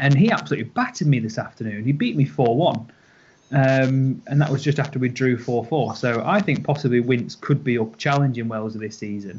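A man with a British accent, somewhat breathy, at a medium pitch with ordinary pitch variation and a fairly quick pace. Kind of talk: casual chat.

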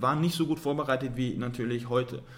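A man talks very fast in a somewhat breathy voice. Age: 30s. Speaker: civil engineer and property investor. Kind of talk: podcast interview.

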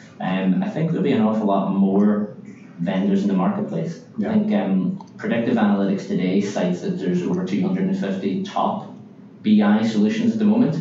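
A man talks fairly quickly in a room with audible echo, and background noise is clearly present. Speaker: business development executive. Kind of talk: interview.

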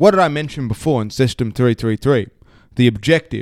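Recorded very cleanly with a silent background and a dry, close sound with no echo, a man with an Australian accent speaks with lively intonation. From Australia, Sydney. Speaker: author and speaker. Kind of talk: casual interview chat. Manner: halting, many fillers.

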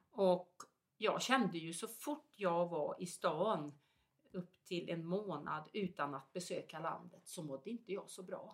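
A woman talks at a fairly slow pace in an ordinary speaking voice. Her pitch sits fairly low and varies in an ordinary way. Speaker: zone therapist. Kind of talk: casual conversation.

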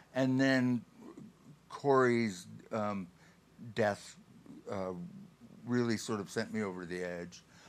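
A man's fairly low voice at a very slow pace, with ordinary pitch variation and long, frequent pauses. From Buffalo area, western New York. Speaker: mountain rescuer and outdoor therapy advocate. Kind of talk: interview conversation.

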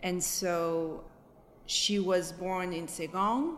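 A woman with a mid-range voice and normal pitch movement talks in a room with audible echo. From France, Paris suburbs. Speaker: interviewee, daughter of Vietnamese immigrants. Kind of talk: interview testimony. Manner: halting, many fillers.

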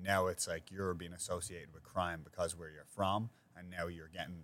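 A man's very deep, low voice with a bright, sharp tone, a Dublin accent and a fairly quick pace. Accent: Dublin Irish. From Ireland, north side of Dublin. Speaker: podcast host, restaurant owner. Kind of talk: casual chat.

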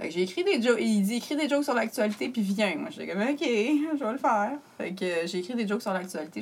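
With a Quebec accent, a woman speaks at a fairly quick pace and medium pitch, her voice making very wide pitch swings over noticeable background noise. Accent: Québécois French. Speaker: comedian. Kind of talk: casual chat.

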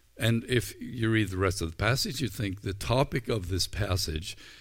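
A somewhat breathy male voice at a moderate pace, with ordinary pitch variation. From Ireland. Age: 60s. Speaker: pastor. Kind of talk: sermon. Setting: recorded without live audience. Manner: halting.

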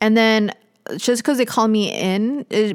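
In a very clean recording with a silent background and a dry, close sound with no echo, a woman with a normal speaking voice talks at a fairly high pitch with ordinary pitch variation. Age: 20s. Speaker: podcast host and actress. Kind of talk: casual chat.

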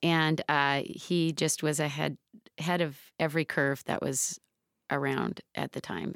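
A woman with an American accent, very deep and low-pitched, with vocal fry, fairly even intonation and a fairly slow pace, on a very clean recording with a silent background and a dry, close sound with no echo. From Seattle, US Pacific Northwest. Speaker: high school running coach. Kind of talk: interview conversation. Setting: studio.

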